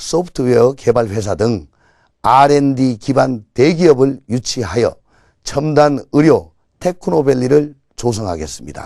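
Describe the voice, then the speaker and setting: A man at medium pitch with a dark, mellow tone, lively intonation, and a fairly slow pace. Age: 50s. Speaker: political candidate. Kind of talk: campaign speech. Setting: TV broadcast. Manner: formal.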